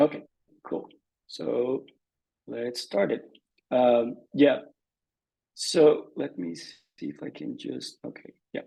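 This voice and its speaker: Speaking at a very slow pace with long, frequent pauses, a man with a Brazilian Portuguese accent shows big swings in loudness. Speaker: conservation scientist. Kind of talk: presentation.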